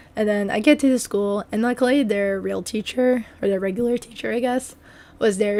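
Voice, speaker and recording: A soft-spoken woman at medium pitch, moderate in pace, with fairly even intonation. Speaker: substitute teacher and gaming youtuber. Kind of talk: story time voiceover.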